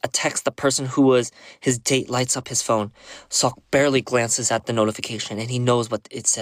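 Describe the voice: Fairly even intonation over plain reading aloud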